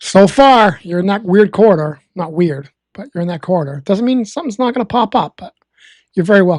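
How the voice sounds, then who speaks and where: A woman with a Massachusetts accent at a fairly quick pace, medium in pitch with lively intonation and big swings in loudness, in a dry, close sound with no echo. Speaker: live weather streamer. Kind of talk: live weather commentary. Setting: live stream. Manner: calm.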